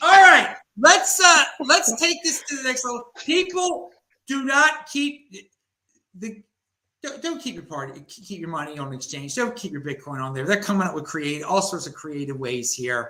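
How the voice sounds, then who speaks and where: A man speaks in a raised, projected voice at a high pitch and a moderate pace. His animated tone brings very wide pitch swings and big swings in loudness. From Baltimore, US. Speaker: crypto show host. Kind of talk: casual panel chat.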